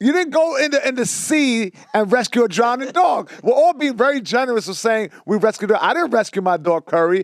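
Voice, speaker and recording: A man with a New York accent at an extremely high pitch, animated in tone with very wide pitch swings, fairly quick and hardly pausing, in a dry, close sound with no echo. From New York City, Lower East Side. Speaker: podcast host. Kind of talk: casual chat.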